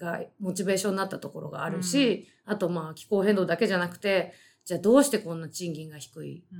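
A woman talks at a very fast pace and a medium pitch. Her pitch varies in an ordinary way, with big swings in loudness. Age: 40s. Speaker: writer. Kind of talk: casual chat.

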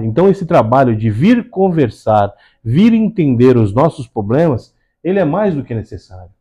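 A man's fairly high, somewhat breathy voice with a dark, mellow tone moves at a fairly slow pace through very wide pitch swings. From Santos, São Paulo state, Brazil. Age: 40s. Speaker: civil firefighter and first aid instructor. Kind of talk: interview. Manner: halting.

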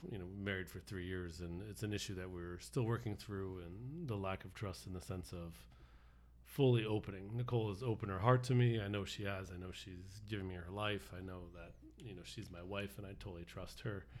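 A man talks at a fairly quick pace in a very deep, low pitch, with big swings in loudness. Room echo is audible. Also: ordinary pitch variation. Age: 40s. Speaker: church outreach worker. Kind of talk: casual chat.

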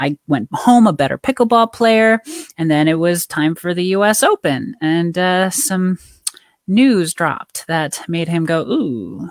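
With a normal speaking voice, a woman speaks fairly slowly at a fairly low pitch and with lively intonation, the sound dry and close with no echo. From rural Canada. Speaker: pickleball player and life coach. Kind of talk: interview.

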